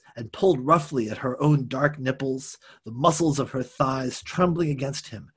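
Ordinary pitch variation in plain reading aloud.

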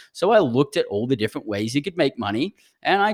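An Australian-accented man talks at a fairly quick pace with very wide swings in pitch. The recording is very clean, with a silent background. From Brisbane, Australia. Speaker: podcast host, entrepreneur. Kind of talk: solo podcast monologue, personal story. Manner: conversational, upbeat.

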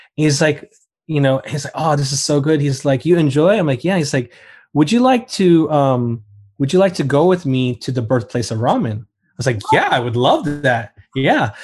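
The speaker's voice is somewhat breathy, with an American accent. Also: man, fairly high pitch for a man, ordinary pitch variation, moderate pace, quiet background. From Florida, US. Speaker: food photographer and blogger. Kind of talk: casual chat. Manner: animated.

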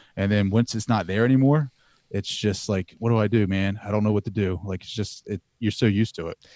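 With an American accent and a normal speaking voice, a man talks at a fairly quick pace in a fairly low pitch with fairly even intonation, the sound dry and close with no echo. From US East Coast, southern Delaware. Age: 30s. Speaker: podcaster. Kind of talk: casual interview.

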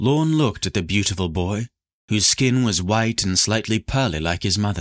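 An unforced reading voice is heard with the background quiet.

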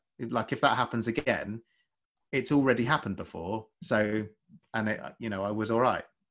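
A man speaks at a fairly quick pace with a southern English accent. The recording is very clean, with a silent background. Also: medium pitch for a man, ordinary pitch variation. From Essex, England. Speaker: doctor and podcaster. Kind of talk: casual chat.

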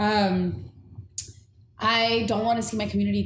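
In an American accent, a woman speaks at a fairly slow pace, with audible room echo around her. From Inglewood, Los Angeles, California. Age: 30s. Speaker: diversity consultant and community organizer. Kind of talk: casual chat.

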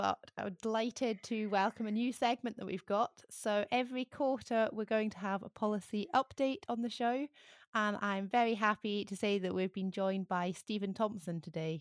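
In a very clean recording with a silent background and a dry, close sound with no echo, a woman with a normal speaking voice talks at a moderate pace, her fairly high pitch showing ordinary variation. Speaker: farm advisor. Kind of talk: casual chat and interview.

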